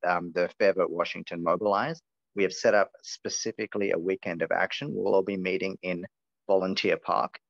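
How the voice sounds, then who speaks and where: Speaking with an Australian accent, a man keeps to a medium tempo. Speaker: campaign organizer. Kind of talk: online meeting presentation. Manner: animated.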